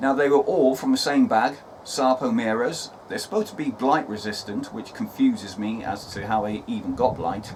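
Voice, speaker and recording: A man with a British accent, fairly high-pitched, moving at a moderate pace with very wide pitch swings over noticeable background noise. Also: hardly any pauses. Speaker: allotment gardening vlogger. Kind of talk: casual outdoor video vlog. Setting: outdoors on allotment plot. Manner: loud, raised voice over wind.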